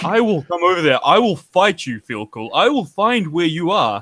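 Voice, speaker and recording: In a New Zealand accent, a man with a high pitch speaks with very wide pitch swings. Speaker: artist in drawing contest. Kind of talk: casual live stream chat.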